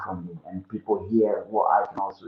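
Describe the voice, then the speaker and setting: A man is speaking. He has an African accent. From Ghana. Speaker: musician and entrepreneur. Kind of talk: interview.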